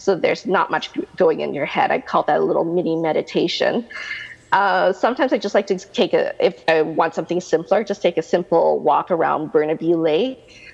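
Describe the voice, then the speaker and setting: Noticeable background noise sits behind the speaker. The Canadian accent comes at a fairly quick pace. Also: woman. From Canada. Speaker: realtor. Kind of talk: interview answer.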